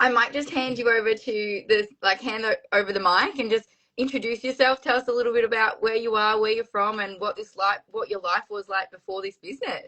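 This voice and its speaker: This woman has a plain, everyday voice, fairly high in pitch. She talks at a fairly quick pace with fairly even intonation and hardly any pauses. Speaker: podcast interviewer. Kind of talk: casual interview hosting.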